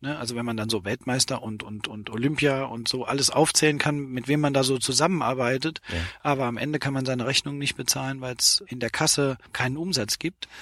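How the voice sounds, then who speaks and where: Moving at a fairly quick pace with hardly any pauses, a man speaks at a medium pitch with ordinary pitch variation in a dry, close sound with no echo against noticeable background noise. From Saarland, Germany. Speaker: sportswear company founder and managing director. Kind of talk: interview. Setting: in a parked car at a sports expo.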